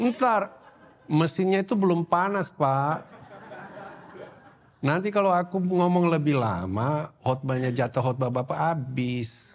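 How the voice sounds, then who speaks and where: The speech is very slow, with very wide pitch swings. Noticeable background noise runs underneath. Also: man, fairly high pitch for a man. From Indonesia, Papua (Sorong). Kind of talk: sermon.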